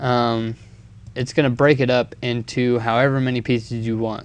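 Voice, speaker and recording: Mumbling at a moderate pace, a man speaks. The background is quiet. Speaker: video editing tutorial maker. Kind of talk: tutorial. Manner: casual, hesitant with many ums.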